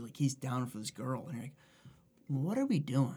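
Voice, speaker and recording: A man's very fast, somewhat breathy speech, medium in pitch with a dark, mellow tone. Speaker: podcast co-host. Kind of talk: casual chat.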